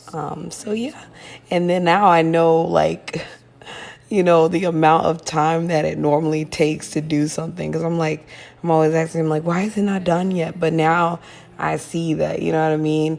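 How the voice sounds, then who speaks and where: Her intonation is monotone and flat, and her pitch fairly low. This woman keeps a moderate pace. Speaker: lifestyle vlogger. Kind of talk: casual voiceover chat.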